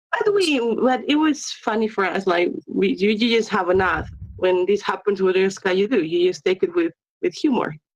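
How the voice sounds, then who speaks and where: A woman speaks at a medium pitch and a moderate pace with a non-native accent. Her intonation is lively while her loudness stays very even. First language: not English. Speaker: esports player, clan member. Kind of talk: post-match interview. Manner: halting.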